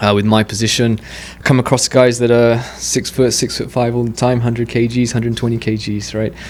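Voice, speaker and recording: A medium-pitched male voice, fairly quick and flat in intonation, with noticeable background noise. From England. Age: 30s. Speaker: amateur boxer. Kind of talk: podcast interview.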